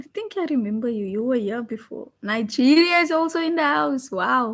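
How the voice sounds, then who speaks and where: A woman speaks in a high pitch at a moderate pace. Her pitch swings very widely. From South Africa, Cape Town. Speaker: forex trader and live streamer. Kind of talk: live stream trading commentary. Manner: casual, chatty.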